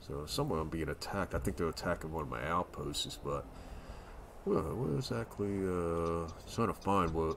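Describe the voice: A man speaks with vocal fry. His pace is moderate.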